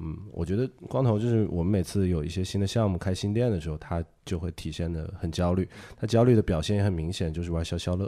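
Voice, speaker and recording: Very fast speech comes from a man with a very deep, low pitch and a dark, mellow tone. His pitch varies in an ordinary way on a very clean recording with a silent background. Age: 30s. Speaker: podcast host. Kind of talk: casual chat.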